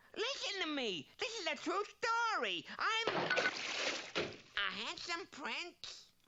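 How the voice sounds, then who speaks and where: In a cartoonish character voice with an extremely high pitch, the words come at a very slow pace. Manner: wisecracking, comic exasperation.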